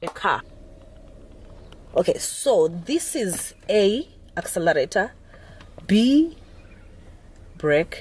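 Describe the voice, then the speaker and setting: The tone is animated. It belongs to a woman. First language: Zulu or Xhosa (Nguni language). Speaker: driving instructor vlogger. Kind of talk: tutorial. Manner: halting.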